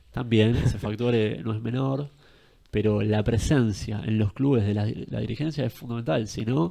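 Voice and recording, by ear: A man's nasal, medium-pitched voice with a dark, mellow tone, vocal fry, ordinary pitch variation and a moderate pace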